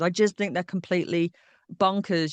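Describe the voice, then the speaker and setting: Speaking with a Yorkshire accent, a woman talks at a fairly quick pace in a fairly low pitch, the sound dry and close with no echo. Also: quiet background. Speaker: historian. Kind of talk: interview answer. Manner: witty.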